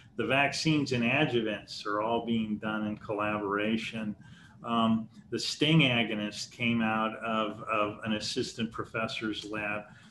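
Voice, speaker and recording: A medium-pitched man with a bright, sharp tone and fairly even intonation, amid audible room echo. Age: 60s. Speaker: research institute president and chemist. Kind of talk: lecture Q&A. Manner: halting with frequent repetitions.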